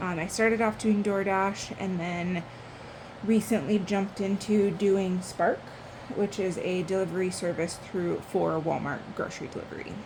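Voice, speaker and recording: A woman's monotone, flat intonation, with audible room echo and noticeable background noise. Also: medium pitch for a woman, moderate pace. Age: 20s. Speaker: budgeting YouTuber. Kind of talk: casual vlog tutorial.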